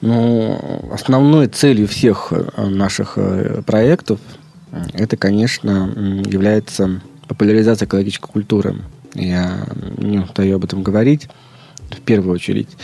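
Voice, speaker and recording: A man's fairly low voice at a fairly slow pace with long, frequent pauses and ordinary pitch variation, over noticeable background noise. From Leningrad Oblast, Russia. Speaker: head of an ecological foundation. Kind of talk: interview. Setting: studio. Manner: halting.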